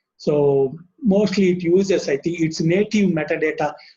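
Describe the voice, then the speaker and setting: Speaking at a fairly slow pace, a man uses a fairly high, dark, mellow voice with ordinary pitch variation. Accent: South Asian. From Indian subcontinent. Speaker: webinar speaker on library software. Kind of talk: technical presentation. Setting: online webinar. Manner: halting with frequent fillers.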